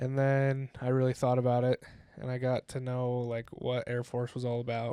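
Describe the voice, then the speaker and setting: In an American accent, a man talks in a dark, mellow tone at medium pitch, his intonation monotone and flat. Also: moderate pace. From Utah, US. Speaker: college football player. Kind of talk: casual chat.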